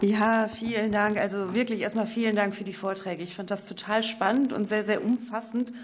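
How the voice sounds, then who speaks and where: A woman talks at a fairly quick pace in a fairly high pitch. Her intonation is fairly even, and there is noticeable background noise. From North Rhine-Westphalia. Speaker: member of parliament. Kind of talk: questions at a parliamentary hearing. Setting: parliamentary committee hearing room.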